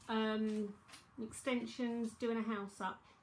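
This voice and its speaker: A woman speaks with a London accent. Her pitch sits fairly high. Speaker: psychic tarot reader. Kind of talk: live-streamed tarot reading. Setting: live stream. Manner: casual, chatty.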